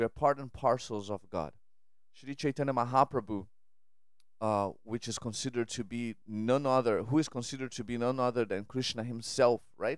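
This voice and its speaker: Speaking with a Portuguese accent, a man has a medium pitch and fairly even intonation. He keeps a moderate pace on a very clean recording with a silent background. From Brazil. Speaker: podcast host and spiritual speaker. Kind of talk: spiritual monologue. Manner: halting, frequent repetitions and fillers.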